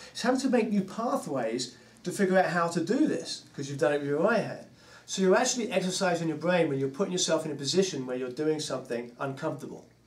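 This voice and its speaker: Talking at a very fast pace, a high-voiced man swings his pitch very widely amid audible room echo and noticeable background noise. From England, London. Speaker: drummer and drum teacher. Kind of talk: casual interview chat.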